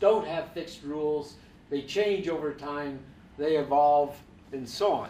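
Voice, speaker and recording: A man's fairly high voice at a fairly slow pace, with ordinary pitch variation and audible room echo. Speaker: professor. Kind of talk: panel discussion. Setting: stage with audience.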